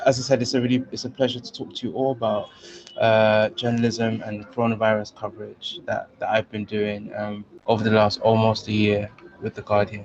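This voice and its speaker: With a British accent and a medium pitch, a man speaks in a monotone, flat way at a moderate pace, his loudness swinging widely over noticeable background noise. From London, England. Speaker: journalist. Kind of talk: guest lecture. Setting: video call. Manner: many fillers, halting.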